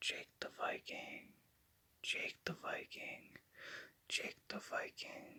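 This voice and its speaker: Someone whispers at a very slow pace. Long pauses come often. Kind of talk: ASMR name repetition. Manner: whispered.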